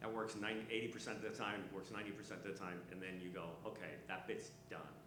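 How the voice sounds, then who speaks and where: Over noticeable background noise and audible room echo, a man with a fairly low voice speaks at a very fast pace. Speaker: stand-up comedian. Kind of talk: panel discussion. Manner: animated.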